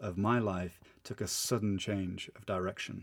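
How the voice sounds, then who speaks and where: This is a man speaking. He has a British accent. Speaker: English teacher and podcaster. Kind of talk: literary audiobook-style storytelling, scripted personal narration. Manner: dramatic, suspenseful, warm.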